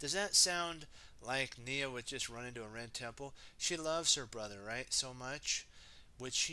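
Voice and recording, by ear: Lively intonation in a natural voice reading aloud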